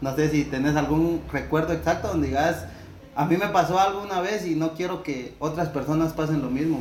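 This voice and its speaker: Fairly high-pitched male speech, fairly quick and fairly even in intonation, amid noticeable background noise and audible room echo. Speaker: podcast host. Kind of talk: casual interview.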